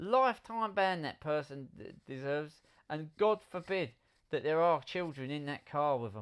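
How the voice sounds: Lively intonation over a clear, smooth tone. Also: moderate pace.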